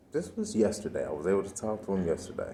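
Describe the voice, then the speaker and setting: Quiet and dark, mellow in tone, a man speaks at a fairly quick pace and fairly low pitch amid audible room echo. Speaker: vlogger. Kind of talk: personal vlog monologue. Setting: library. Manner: quiet, talking low.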